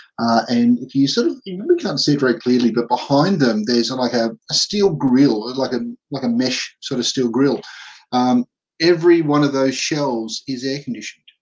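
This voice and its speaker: With an Australian accent, a man talks at medium pitch. His pace is moderate and his pitch variation ordinary. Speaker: podcast host. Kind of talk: casual chat. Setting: video call.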